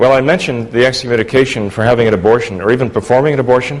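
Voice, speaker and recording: A man talks very fast as noticeable background noise carries on. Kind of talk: formal debate.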